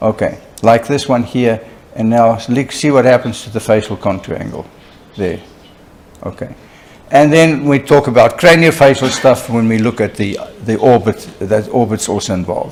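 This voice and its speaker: A man speaks at medium pitch and a moderate pace with ordinary pitch variation. It is an ordinary speaking voice. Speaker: oral and maxillofacial surgeon lecturer. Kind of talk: lecture. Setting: conference hall with live interpreter.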